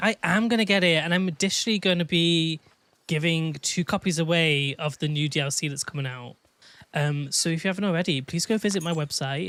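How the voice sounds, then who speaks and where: A man with a Manchester accent talks at a very fast pace with high pitch and an animated tone. The recording is very clean, with a silent background. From England, Manchester. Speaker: gaming streamer. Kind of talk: live stream chat. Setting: live stream.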